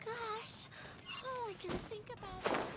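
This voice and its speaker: A put-on character voice comes through squeaky and extremely high-pitched at a fairly slow pace. Loud background noise runs underneath. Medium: video game. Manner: excitable, chatty.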